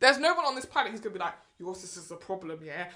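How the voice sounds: A woman in a South London accent, very fast, with a medium pitch, big pitch swings and a bright, sharp tone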